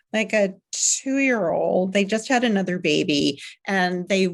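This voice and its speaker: In a very clean recording with a silent background, a woman talks. Her pitch is medium, and it varies in an ordinary way. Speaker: parenting coach and author. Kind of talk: interview. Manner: calm.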